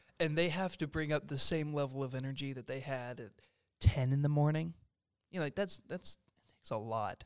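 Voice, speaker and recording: A man in an ordinary speaking voice, fairly high-pitched, with ordinary pitch variation, big swings in loudness and a fairly quick pace. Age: young. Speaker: student filmmaker and composer. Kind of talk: casual chat.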